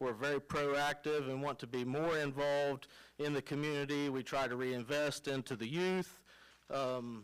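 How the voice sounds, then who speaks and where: The recording is very clean, with a silent background. A man with a fairly high pitch speaks at a moderate pace. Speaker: tow company owner speaking at public comment. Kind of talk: public comment at council meeting. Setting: city council chamber, at microphone. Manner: loud.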